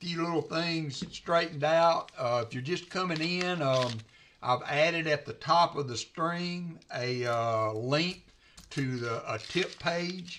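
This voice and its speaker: Speaking very slowly in a Southern US accent, the man has a fairly high pitch and a bright, sharp tone. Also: ordinary pitch variation. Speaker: coin roll hunter and livestreamer. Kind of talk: casual livestream chat. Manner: hesitant, many fillers.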